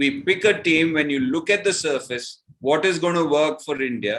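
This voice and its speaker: A man speaks at a moderate pace with a fairly high pitch. His tone is bright and sharp, with ordinary pitch variation. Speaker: former cricketer and commentator. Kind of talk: podcast interview answer.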